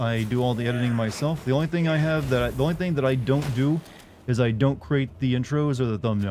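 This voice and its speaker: Very fast speech comes from a man at medium pitch with ordinary pitch variation. Noticeable background noise is present. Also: very even loudness. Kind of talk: relaxed, normal speaking voice.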